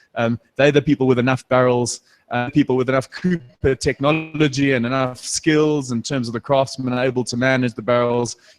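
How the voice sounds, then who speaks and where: Over music in the background, a man speaks at a medium pitch and moderate pace with hardly any pauses. His delivery is flat and monotone, and the sound is dry and close with no echo. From South Africa. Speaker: beer brand representative. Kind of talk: live tasting event presentation. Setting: stage with audience at live event. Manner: halting, repeats words.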